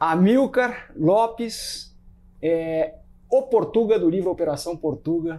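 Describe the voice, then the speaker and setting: Speaking very slowly, a man with a high-pitched, dark, mellow voice uses lively intonation. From Brazil. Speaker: podcast host and runner; podcast host. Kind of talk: casual chat. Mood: relaxed, friendly. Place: home room. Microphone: lapel.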